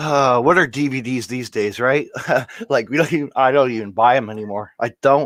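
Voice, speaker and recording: A man at medium pitch and a fairly quick pace, with ordinary pitch variation and an ordinary speaking voice. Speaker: podcast host. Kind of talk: casual podcast conversation.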